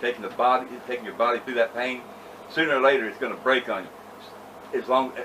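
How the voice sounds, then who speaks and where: Noticeable background noise sits behind a man's voice. He speaks at a fairly quick pace and a medium pitch. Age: 60s. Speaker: wrestling podcast co-host. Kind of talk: casual chat. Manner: halting, repetitive.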